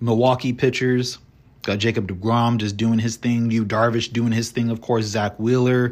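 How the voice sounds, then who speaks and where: A man with a medium pitch sounds strained as he talks at a fairly slow pace. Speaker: solo baseball podcast host. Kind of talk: casual solo commentary. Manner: somewhat monotone, restrained.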